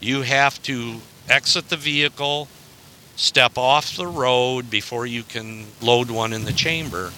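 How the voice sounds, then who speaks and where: A man speaks with an American accent in an ordinary speaking voice. He goes at a fairly slow pace with ordinary pitch variation. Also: medium pitch for a man. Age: 60s. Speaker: hunter. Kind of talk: casual chat.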